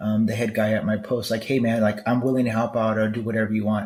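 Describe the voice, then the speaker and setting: A man with an American accent talks at a medium pitch in monotone, flat intonation. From Los Angeles, California (East LA). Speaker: military veteran podcast host. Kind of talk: solo podcast monologue. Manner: casual, halting with repetitions.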